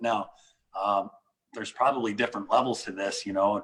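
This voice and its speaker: His pitch shifts in an ordinary way. The speaker is a man. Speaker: leadership discussion host. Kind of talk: casual group discussion on a call. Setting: online group call. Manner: halting, stumbling over words.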